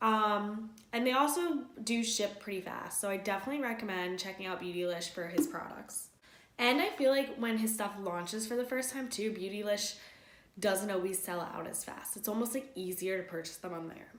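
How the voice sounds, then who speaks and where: A woman at a medium pitch with ordinary pitch variation and a fairly quick pace, amid noticeable background noise and audible room echo. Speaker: beauty youtuber. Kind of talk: product review vlog. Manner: casual, filler-heavy.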